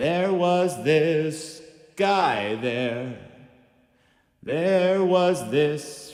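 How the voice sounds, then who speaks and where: A man does a put-on character voice at fairly high pitch, very slow pace, with long, frequent pauses. A clear echo is heard. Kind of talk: performance poetry, spoken word. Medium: stage play. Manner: rhythmic, repetitive, deadpan.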